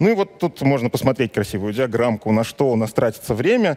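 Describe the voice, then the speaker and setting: A man speaks at a fairly quick pace, and the background stays quiet. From Belarus. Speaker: web developer and conference speaker. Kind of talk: conference talk. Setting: stage with audience. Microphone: headset.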